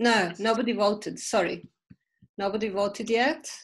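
A woman talks in a normal speaking voice. Her pitch sits fairly high and her pace is moderate. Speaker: event organizer. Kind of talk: casual meeting moderation. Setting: video call. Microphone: video call.

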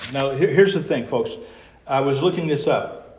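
Audible room echo surrounds a man with a fairly high pitch. His voice is somewhat breathy. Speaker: pastor. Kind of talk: sermon. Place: church. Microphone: lapel.

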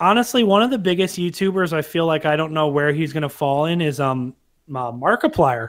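A man's normal speaking voice, fairly high in pitch, at a fairly quick pace with lively intonation. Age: 20s. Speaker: youtuber, podcast co-host. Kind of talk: casual chat.

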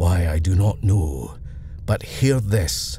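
Over clear background noise, a man puts on a character voice with a very deep, low pitch, speaking at a fairly slow pace. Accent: Scottish.

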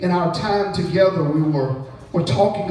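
A man talks high in pitch, with audible room echo around him. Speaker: preacher. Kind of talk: revival sermon, call-and-response with congregation. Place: church. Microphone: camera far.

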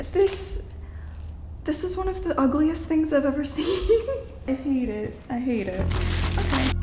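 A woman speaks at a fairly slow pace in a high pitch, with very wide pitch swings and long, frequent pauses. Noticeable background noise runs under her voice. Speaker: goth makeup artist. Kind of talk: interview answer. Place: home room.

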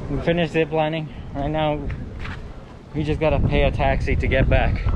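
A man is speaking. Loud background noise runs under his voice. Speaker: travel vlogger. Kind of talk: casual vlog chat. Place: street. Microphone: phone near.

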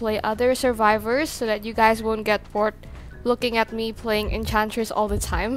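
A woman speaks at a fairly high pitch and a moderate pace. There is music in the background. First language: not English. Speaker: gaming YouTuber. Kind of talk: gameplay commentary.

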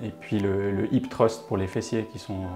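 Music plays clearly behind the voice. The man talks at an even speed. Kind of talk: interview answer. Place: gym. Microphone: lapel.

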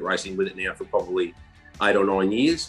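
Faint music plays in the background while a man speaks at a fairly quick pace. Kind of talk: interview answer. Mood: relaxed, enthusiastic. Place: home room. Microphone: video call.

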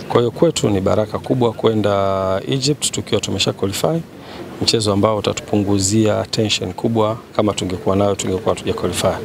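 A man speaks fairly quickly in a fairly low voice with ordinary pitch variation and very even loudness, the sound dry with no echo but with noticeable background noise. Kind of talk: press interview answer. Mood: calm, serious. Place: street. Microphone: handheld.

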